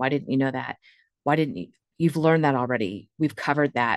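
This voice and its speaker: The recording has a quiet background and a dry, close sound with no echo. A woman with an American accent speaks with ordinary pitch variation. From US Midwest, Northeast Ohio. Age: 40s. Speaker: nursing professor. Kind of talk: interview.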